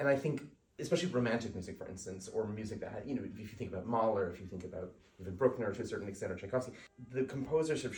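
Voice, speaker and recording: Amid noticeable background noise and audible room echo, a man speaks very fast at medium pitch, with lively intonation and big swings in loudness. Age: 40s. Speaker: composer. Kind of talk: casual interview conversation.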